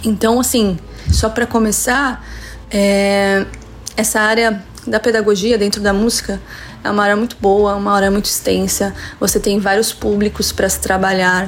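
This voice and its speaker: A woman at medium pitch and moderate pace, with monotone, flat intonation, very even loudness, long, frequent pauses and noticeable background noise. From Brazil, São Paulo state (Santo André). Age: 40s. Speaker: music teacher and musician. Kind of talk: interview.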